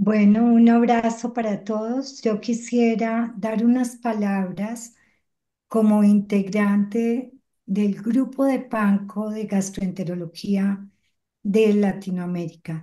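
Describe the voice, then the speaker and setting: A woman speaks at a very slow pace with fairly even intonation and a fairly high pitch. Her tone is dark and mellow, and somewhat breathy. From Colombia. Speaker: gastroenterologist. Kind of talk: welcome speech.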